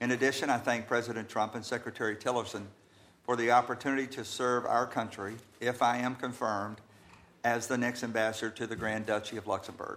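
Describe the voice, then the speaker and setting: Speaking very fast in an American accent, a man holds a medium pitch with monotone, flat intonation. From US South, Georgia. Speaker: attorney, ambassador nominee. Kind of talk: confirmation hearing testimony. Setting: committee hearing room. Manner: formal.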